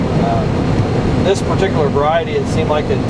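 A man speaks at a moderate pace. Loud background noise runs behind him. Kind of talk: interview answer. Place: farm machine. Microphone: camera far.

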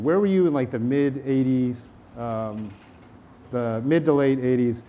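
A man's voice with ordinary pitch variation. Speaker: panel moderator. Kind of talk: panel moderation. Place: hall. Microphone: lapel.

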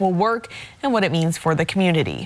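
A woman talks at a fairly quick pace. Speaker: news anchor. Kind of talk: news reading, scripted studio-style anchor intro. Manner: formal, measured. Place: studio. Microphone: lapel.

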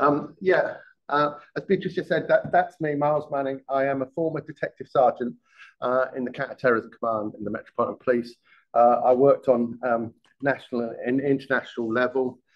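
A man at a fairly quick pace, ordinary pitch variation, and a quiet background. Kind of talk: lecture. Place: hall.

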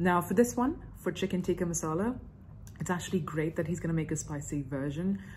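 Fairly quick and somewhat breathy, a woman talks at a fairly low pitch with ordinary pitch variation. Light background noise sits behind her. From India. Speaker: YouTuber reacting to cooking videos. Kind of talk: reaction video commentary. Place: home room. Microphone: phone near.

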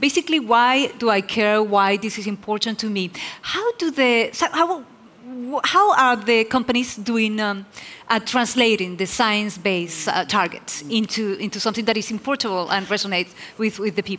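A woman's bright, sharp, fairly high voice at a moderate pace, with ordinary pitch variation. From Peru. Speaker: TV host and forum moderator. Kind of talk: on-stage interview. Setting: stage with audience. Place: stage. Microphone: headset.

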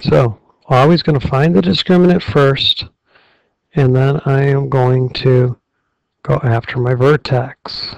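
A man's medium-pitched, somewhat breathy voice at a fairly slow pace, with very even loudness, ordinary pitch variation and long, frequent pauses. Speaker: algebra teacher. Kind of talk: math tutorial. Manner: frustrated.

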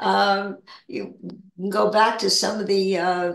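A woman talks at a very slow pace. Room echo is audible, and the background is quiet. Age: 80s+. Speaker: spiritual discussion leader; guest. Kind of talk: casual spiritual chat. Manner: halting. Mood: calm, reflective. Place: home room. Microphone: video call.

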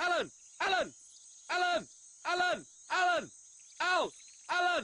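A loud, shouting put-on character voice at an extremely high pitch and a moderate pace. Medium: comedy sketch. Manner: loud, repetitive shouting.

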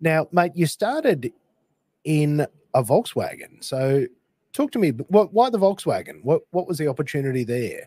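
A man with an Australian accent speaks at a moderate pace in a fairly high voice. His tone is dark and mellow, and his pitch swings very widely. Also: dry, close sound with no echo. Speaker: podcast host. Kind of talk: interview. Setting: morning recording.

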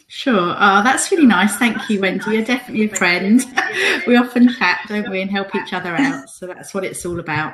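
A woman speaks with big swings in loudness and ordinary pitch variation. Noticeable background noise can be heard. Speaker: interview guest. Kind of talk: interview answer. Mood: warm, friendly, laughing. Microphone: video call.

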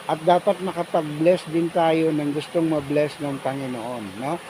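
Someone speaks in a Filipino accent over noticeable background noise. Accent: Filipino (Tagalog) accent, Taglish. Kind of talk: devotional talk. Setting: outdoors at a waterfall.

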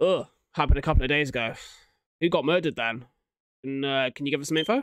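A man speaks fast at a medium pitch, his tone fairly bright, clear and smooth, with ordinary pitch variation.

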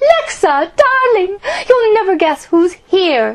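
Using a put-on character voice, a woman speaks at a fairly slow pace with an extremely high, shrill pitch. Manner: shrieking, excited.

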